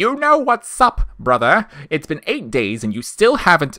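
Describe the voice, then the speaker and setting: A man uses a put-on character voice, raised and projected, at a high pitch. His pitch swings very widely. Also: moderate pace. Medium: read story. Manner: enthusiastic, exclamatory.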